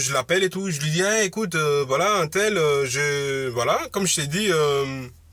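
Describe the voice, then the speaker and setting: Loud and bright with a sharp tone, a man speaks at a moderate pace with lively intonation and a fairly high pitch. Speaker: motivational vlogger. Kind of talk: casual monologue vlog. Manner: halting, many fillers.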